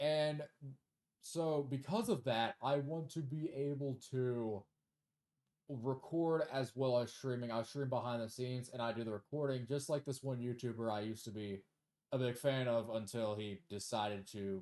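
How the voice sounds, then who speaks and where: Quiet and fairly slow, a man talks at a medium pitch with ordinary pitch variation and long, frequent pauses. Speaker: gaming youtuber and streamer. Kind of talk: casual video commentary and self-review. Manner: low energy, quiet; hesitant, many fillers.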